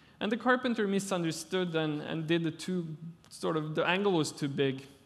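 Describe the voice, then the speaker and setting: A man's high-pitched voice with a Norwegian accent, at a moderate pace. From Norway. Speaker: architect. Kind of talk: conference talk. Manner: halting.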